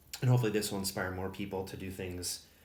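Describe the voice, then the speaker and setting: With a Wisconsin accent, a man speaks in a very deep, low pitch over audible room echo. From Wisconsin, US Upper Midwest. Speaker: tabletop miniatures hobbyist YouTuber. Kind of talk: casual show-and-tell video. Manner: hesitant, many fillers.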